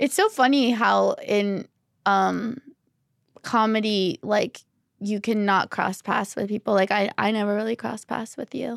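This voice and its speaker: In a dry, close sound with no echo, a woman with an unremarkable speaking voice talks at a fairly high pitch and fairly slow pace, her intonation fairly even. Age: 30s. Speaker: stand-up comedian. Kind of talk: casual chat. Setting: studio. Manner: laughs often.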